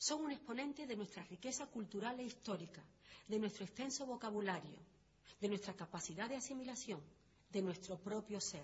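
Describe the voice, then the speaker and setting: A woman talks at a moderate pace with lively intonation. Her pitch is medium and her voice somewhat breathy. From Andalusia. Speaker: documentary narrator. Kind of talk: scripted narration. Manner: formal.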